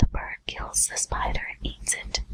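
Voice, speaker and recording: Against noticeable background noise, a whispered voice moves at a fairly slow pace. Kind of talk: whispered audiobook-style reading of a literary text. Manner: whispered, ASMR.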